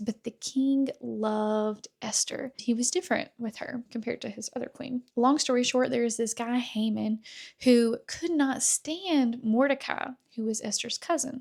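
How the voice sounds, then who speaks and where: In a fairly high voice, a woman speaks at a fairly slow pace in a normal speaking voice. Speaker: faith-based speaker. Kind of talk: religious teaching talk.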